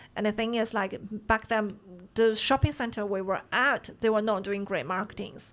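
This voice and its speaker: Speaking with a Chinese accent, a woman keeps her medium-pitched voice fairly even in intonation. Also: very clean recording, silent background. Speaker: bakery owner. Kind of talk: casual interview.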